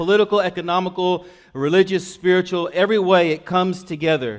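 Against a quiet background, a man with a high voice speaks in a fairly even intonation. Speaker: pastor. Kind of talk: sermon. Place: church. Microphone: podium.

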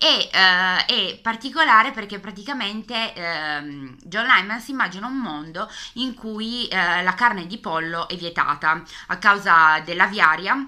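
Against a quiet background, a woman with a Piedmontese accent talks at a fairly slow pace in a bright, sharp tone, her medium pitch carrying lively intonation and big swings in loudness. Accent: Piedmontese Italian. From Piedmont, northern Italy. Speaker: book youtuber. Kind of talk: casual video book tag. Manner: hesitant, many fillers. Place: home room. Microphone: webcam.

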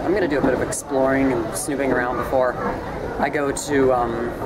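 A man talks while crowd noise carries in the background. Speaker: vlogger. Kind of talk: casual vlog chat.

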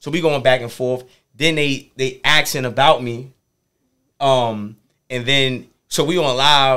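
A man with a bright, sharp tone and fairly even intonation at a fairly slow pace, with long, frequent pauses against a quiet background. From New York City (Harlem); New York. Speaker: motivational speaker. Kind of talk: casual interview. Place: studio. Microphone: studio mic.

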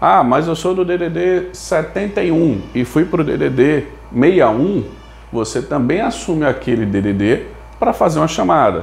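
Speaking at a very slow pace, a man with a fairly high voice moves through very wide pitch swings. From Brazil. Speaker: telecom management consultant. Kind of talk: tutorial. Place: home room. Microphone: lapel.

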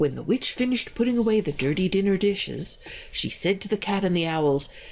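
The voice reads in an unforced way, its intonation lively.

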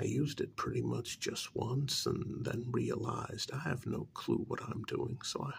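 Soft-spoken and at a moderate pace, the voice runs with hardly any pauses over light background noise. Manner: soft-spoken ASMR voice.

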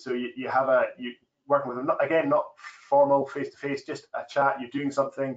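The voice moves at a fairly quick pace with a Scottish accent. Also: man, big swings in loudness. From Scotland. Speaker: farmer. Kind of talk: webinar panel discussion. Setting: online webinar. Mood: relaxed, friendly. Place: office. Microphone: video call.

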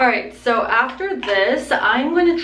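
A woman speaks very slowly with audible room echo and light background noise. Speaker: beauty vlogger. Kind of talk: casual vlog chat. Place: home room.

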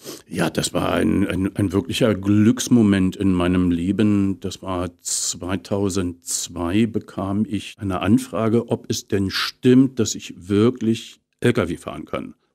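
Very slow and with hardly any pauses, a man speaks in a Berlin accent at a fairly low pitch, his tone dark and mellow. The intonation stays fairly even against a quiet background. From Potsdam, eastern Germany; Germany. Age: 50s. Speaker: actor and voice actor; actor, voice actor. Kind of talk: casual interview. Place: studio.

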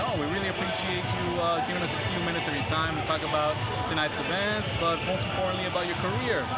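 A man rattles off his words very quickly while loud music plays behind him. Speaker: boxing interviewer. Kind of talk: interview question. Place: stadium.

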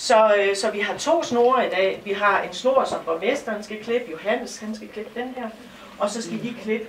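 A woman speaks at a fairly slow pace with ordinary pitch variation, with audible room echo and light background noise. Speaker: shop volunteer host. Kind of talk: opening speech. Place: shop. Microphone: camera far.

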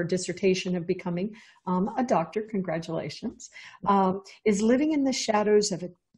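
A somewhat breathy woman speaks at a moderate pace with ordinary pitch variation. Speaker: podcast host. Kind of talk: show introduction. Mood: warm, enthusiastic. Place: home room. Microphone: earbuds.

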